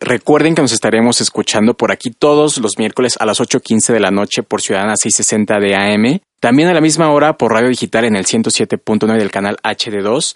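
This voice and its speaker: With an unremarkable speaking voice, a man talks at a moderate pace and medium pitch, with ordinary pitch variation, very even loudness and hardly any pauses, in a dry, close sound with no echo against a quiet background. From central Mexico, rural State of Mexico. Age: 20s. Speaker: radio host. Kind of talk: casual radio chat. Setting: radio studio.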